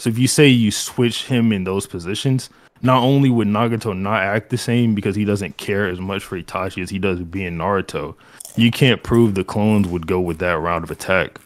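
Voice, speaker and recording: A man with a normal speaking voice talks at a fairly quick pace, fairly low in pitch with ordinary variation. The recording is very clean, with a silent background. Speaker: anime debater. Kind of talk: timed debate argument.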